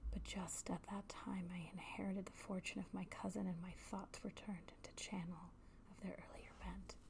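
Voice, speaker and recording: Whispered speech moves at a moderate pace. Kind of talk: whispered literary reading for ASMR.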